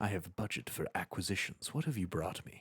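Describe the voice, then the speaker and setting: In a put-on character voice, a man whispers breathily at a fairly quick pace, the sound dry and close with no echo. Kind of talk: formal, businesslike. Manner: whispering, breathy.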